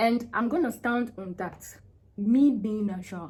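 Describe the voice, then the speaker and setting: A woman with a fairly high pitch talks in a somewhat breathy voice. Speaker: vlogger giving relationship advice to women. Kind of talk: casual vlog monologue. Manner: slow, naturally; hesitant, with many fillers.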